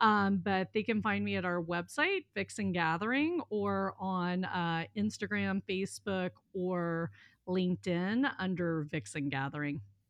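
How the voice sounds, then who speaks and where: Set against a quiet background, a plain, everyday voice with an American accent moves at a fairly slow pace with ordinary pitch variation. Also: woman, medium pitch for a woman. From US South, southern Mississippi. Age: 40s. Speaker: life coach, former attorney. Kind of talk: casual interview.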